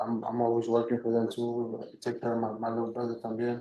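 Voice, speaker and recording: A man with a Spanish accent speaks quietly at a moderate pace, in a monotone, flat way. His pitch is medium and his tone dark and mellow. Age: 20s. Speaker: defendant. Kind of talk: court testimony. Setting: courtroom. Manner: halting.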